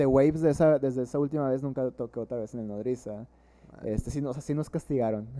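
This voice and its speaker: This man talks at a very fast pace, his tone dark and mellow and his intonation fairly even. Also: medium pitch for a man. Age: 20s. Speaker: drummer and psychologist. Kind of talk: casual chat.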